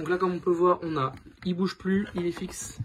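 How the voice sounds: With a husky, rough edge, the man's voice sits at a fairly high pitch.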